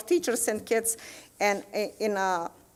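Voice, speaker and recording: A woman with a non-native accent talks at a moderate pace. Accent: foreign. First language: not English. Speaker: teacher. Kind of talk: committee presentation at school board meeting. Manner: halting, many hesitations.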